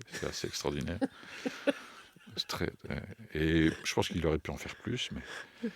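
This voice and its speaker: Very deep, low male voice with vocal fry, a moderate pace and long, frequent pauses. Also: ordinary pitch variation. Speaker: writer and poetry performer. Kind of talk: interview answer. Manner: hesitant, searching for words.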